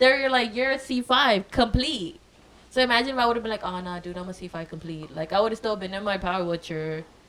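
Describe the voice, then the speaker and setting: Animated and fairly high-pitched, a woman talks at a fairly quick pace with lively intonation and big swings in loudness over noticeable background noise. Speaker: spinal cord injury survivor. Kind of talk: casual chat.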